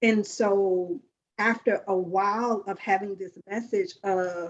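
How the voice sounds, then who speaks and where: A woman speaks in a Southern US accent. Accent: Southern US drawl. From US South. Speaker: life coach hosting a women's circle. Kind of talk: group sharing talk. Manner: expressive.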